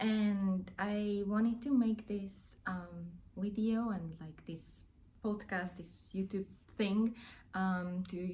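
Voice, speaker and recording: Somewhat breathy, a woman's dark, mellow tone holds a medium pitch with fairly even intonation. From Hungary. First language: Hungarian. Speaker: crafting YouTuber. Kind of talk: casual vlog chat. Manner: hesitant, many fillers.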